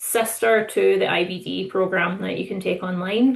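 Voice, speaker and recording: A woman with a Scottish accent at a moderate pace. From Scotland. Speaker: distillery manager. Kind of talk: webinar panel self-introduction.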